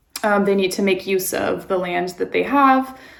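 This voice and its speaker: Fairly even intonation carries a voice with an American accent through audible room echo. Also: woman. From California, San Francisco Bay Area. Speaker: vlogger, expat and nurse. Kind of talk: casual vlog talk.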